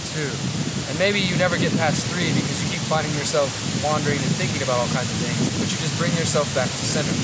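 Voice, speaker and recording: With noticeable background noise behind him, a man talks at a very fast pace. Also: fairly high pitch for a man, fairly even intonation. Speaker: meditation guide. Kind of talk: casual talk to camera. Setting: outdoors.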